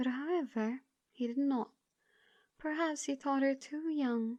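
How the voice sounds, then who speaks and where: Soft-spoken and soothing, a woman talks at a fairly slow pace in a high, dark and mellow voice with ordinary pitch variation. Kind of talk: audiobook reading. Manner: soothing, soft-spoken.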